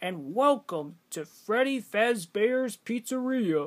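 A man's put-on character voice at a fairly slow pace, in a very clean recording with a silent background. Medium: voice reel.

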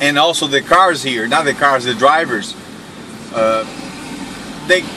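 Against noticeable background noise, a man talks at a fairly slow pace with ordinary pitch variation. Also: dry sound with no echo. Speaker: vlogger driving. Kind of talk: casual vlog chat. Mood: relaxed, laughing often. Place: car. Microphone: phone near.

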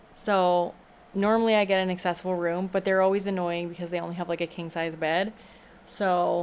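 A woman with a plain, everyday voice talks at a fairly quick pace, with a fairly low pitch and fairly even intonation, over light background noise. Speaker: vlogger. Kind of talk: casual vlog chat. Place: home room. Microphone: phone near.

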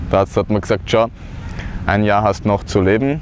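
Over light background noise, a man with a fairly low pitch speaks at a moderate pace, and the sound is dry with no echo. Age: 30s. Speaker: cancer survivor. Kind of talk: personal testimony talk to camera. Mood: earnest, calm. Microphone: lapel.

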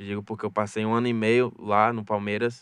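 A man talks very fast in a monotone, flat intonation, with a dry sound with no echo and a quiet background. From Salvador, Bahia, Brazil; Bahia, Brazil. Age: young. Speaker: youth footballer; guest. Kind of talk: radio interview. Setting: radio studio. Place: studio. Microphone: studio mic.

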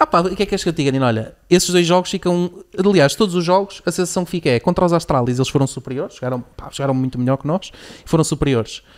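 A man speaks very fast at a high pitch, with ordinary pitch variation and a quiet background. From Portugal. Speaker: podcast host. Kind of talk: sales pitch; casual chat. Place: studio. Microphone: studio mic.

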